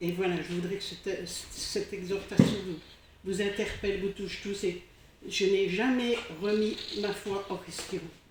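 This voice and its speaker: The speaker talks at a fairly slow pace with long, frequent pauses and monotone, flat intonation, amid noticeable background noise and audible room echo. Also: woman, medium pitch for a woman. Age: 60s. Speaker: church member giving testimony. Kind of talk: testimony. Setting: church congregation. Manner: halting.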